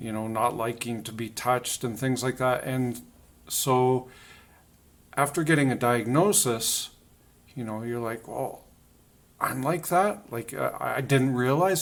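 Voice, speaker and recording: A man speaks at a fairly slow pace with lively intonation. He leaves long, frequent pauses. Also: medium pitch for a man. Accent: Canadian. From Canada. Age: 40s. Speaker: video blogger. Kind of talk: casual monologue. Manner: halting, many fillers.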